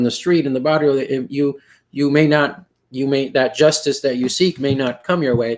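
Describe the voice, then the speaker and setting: The speech comes in a Texas Valley accent at a moderate pace. The intonation stays fairly even. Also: man. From US South, Rio Grande Valley, Texas. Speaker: poetry panel moderator. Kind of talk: panel discussion. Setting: video call. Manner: halting, many fillers.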